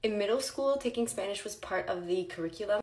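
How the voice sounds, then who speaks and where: A woman at a medium pitch speaks with very wide pitch swings over noticeable background noise. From Ontario, Canada (Franco-Ontarian). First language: French. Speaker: vlogger. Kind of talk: casual chat.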